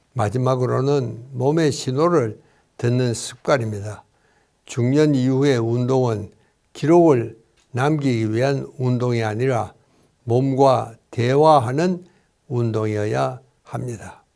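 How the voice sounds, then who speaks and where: In a very clean recording with a silent background, a man with medium pitch and a dark, mellow tone talks very slowly, his pitch varying in an ordinary way. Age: 80s+. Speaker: psychiatrist and doctor. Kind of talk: health advice talk.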